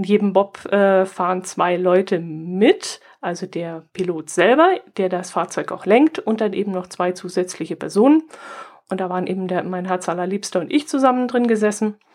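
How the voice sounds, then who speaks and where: A woman uses an ordinary speaking voice at a medium pitch and moderate pace with ordinary pitch variation, recorded very cleanly over a silent background. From southern Germany near Austrian and Swiss border. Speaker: podcast co-host. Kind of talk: casual chat.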